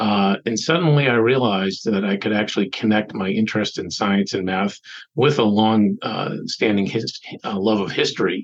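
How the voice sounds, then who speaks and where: An ordinary speaking voice from a man with an American accent, fairly low in pitch with ordinary pitch variation, at a moderate pace. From Boston area. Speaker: nonprofit executive director. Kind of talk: interview.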